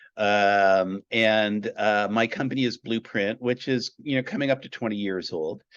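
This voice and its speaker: Speaking at a fairly slow pace with hardly any pauses, a man with a fairly low pitch keeps his intonation fairly even in a dry, close sound with no echo against a quiet background. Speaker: business consultant, company founder. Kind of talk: interview. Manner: hesitant, many fillers and repeats.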